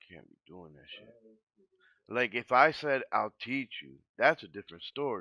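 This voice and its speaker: A man's medium-pitched voice with an American accent, bright and sharp in tone, with vocal fry, lively intonation and long, frequent pauses, in a dry, close sound with no echo over a quiet background. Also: moderate pace. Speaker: gaming streamer. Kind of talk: casual chat. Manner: animated.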